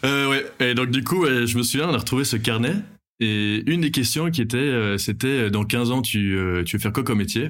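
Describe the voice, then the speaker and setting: A man speaks at a moderate pace with ordinary pitch variation. His loudness stays very even. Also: medium pitch for a man, very clean recording, silent background. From Belgium. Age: 20s. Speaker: airline pilot. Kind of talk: casual interview chat. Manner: halting, many fillers and repetitions.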